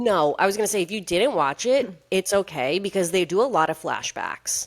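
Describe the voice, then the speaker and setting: On a very clean recording with a silent background, a woman at a medium pitch speaks in an animated tone with lively intonation, her sound dry and close with no echo. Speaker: podcast co-host. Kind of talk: casual chat. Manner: fast.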